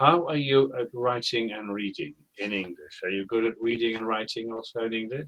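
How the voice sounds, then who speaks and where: Speaking at a moderate pace with a British accent, a man holds a medium pitch and ordinary pitch variation. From United Kingdom. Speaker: online English tutor. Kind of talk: online English lesson conversation.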